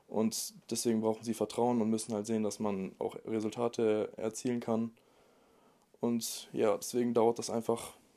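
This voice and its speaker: A man speaks at a moderate pace in a dark, mellow tone with monotone, flat intonation. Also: medium pitch for a man, very clean recording, silent background. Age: 20s. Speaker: online fitness coach. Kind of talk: casual chat.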